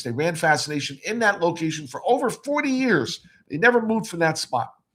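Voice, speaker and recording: With an American accent, a man speaks at a fairly quick pace, his pitch swinging very widely. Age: 60s. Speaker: amusement collector and arcade operator. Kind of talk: live stream interview chat. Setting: live stream. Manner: halting, repeats words.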